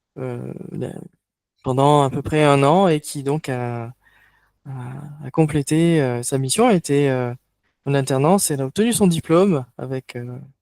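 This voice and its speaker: With a dry, close sound and no echo, a fairly high-pitched man speaks with ordinary pitch variation and long, frequent pauses. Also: fairly slow pace. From France, Toulouse. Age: 30s. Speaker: online workshop facilitator. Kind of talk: online workshop presentation. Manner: halting, many hesitations.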